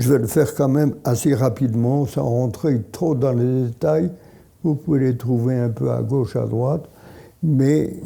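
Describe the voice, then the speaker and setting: A man's dark, mellow voice at medium pitch and a very slow pace. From Poland, Lodz. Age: 80s+. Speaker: Holocaust survivor and author. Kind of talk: talk to an audience. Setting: hall with audience. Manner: halting.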